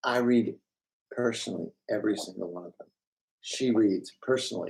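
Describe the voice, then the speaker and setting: A man talks at a fairly quick pace with big swings in loudness. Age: 60s. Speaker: author and show co-creator. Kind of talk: live Q&A. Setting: live stream. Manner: animated.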